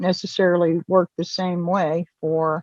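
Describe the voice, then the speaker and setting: A woman talks at a very slow pace, and the sound is dry and close with no echo. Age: 60s. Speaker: lung cancer patient. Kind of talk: testimony. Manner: halting, many fillers.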